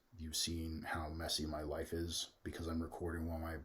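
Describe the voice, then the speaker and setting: A man's somewhat breathy, very deep voice with an American accent. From US Midwest. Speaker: youtuber. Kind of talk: casual monologue. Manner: slow, steady.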